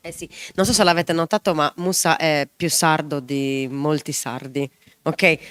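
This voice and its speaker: The speech moves at a fairly slow pace with ordinary pitch variation and a dry, close sound with no echo. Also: woman, very deep, low pitch for a woman, big swings in loudness. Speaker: show host. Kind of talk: live talk show with guests.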